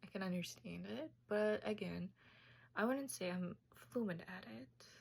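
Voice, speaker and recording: Speaking in a Tajik accent, a woman uses a medium pitch and lively intonation. She goes at a fairly slow pace with long, frequent pauses. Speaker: student. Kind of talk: class presentation.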